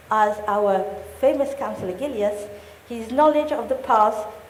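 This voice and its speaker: A woman speaks at a medium pitch and a fairly slow pace with lively intonation. Audible room echo and noticeable background noise surround her. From Mauritius. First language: French. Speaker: mayor. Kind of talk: formal speech.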